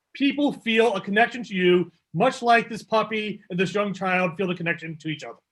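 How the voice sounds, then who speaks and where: A high-pitched man at a fairly quick pace, with ordinary pitch variation, big swings in loudness and hardly any pauses. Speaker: public speaking presenter; public presenter. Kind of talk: workshop talk. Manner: fast. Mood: warm, reassuring.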